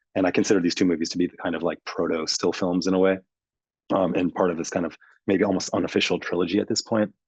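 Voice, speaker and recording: A man's very deep, low voice at a very fast pace, in a monotone, flat intonation. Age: 40s. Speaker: filmmaker. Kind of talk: post-screening Q&A discussion. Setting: theater with audience. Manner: many fillers and repetitions.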